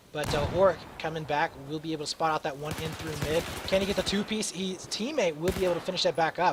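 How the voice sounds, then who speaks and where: Through noticeable background noise, a man speaks very fast at a high pitch with ordinary pitch variation. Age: 20s. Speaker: esports caster. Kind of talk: live commentary. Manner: animated; frequent filler words.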